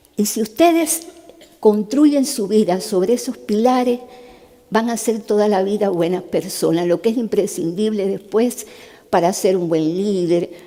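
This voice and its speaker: Noticeable background noise sits behind a woman talking fairly slowly with ordinary pitch variation. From Cuba. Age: 70s. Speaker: neurosurgeon and human rights activist. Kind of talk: testimony talk to a youth summit. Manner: conversational.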